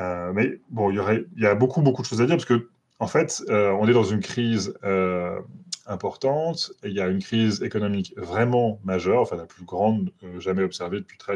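A man's fairly low voice at a fairly quick pace, with big swings in loudness. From France. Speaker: NGO lobbying watchdog researcher. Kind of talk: interview. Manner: hesitant, many fillers.

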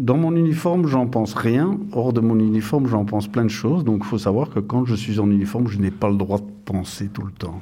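This man has a dark, mellow tone and a fairly low pitch. He talks at a fairly quick pace with hardly any pauses. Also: ordinary pitch variation. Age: 50s. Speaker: police officer. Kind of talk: interview.

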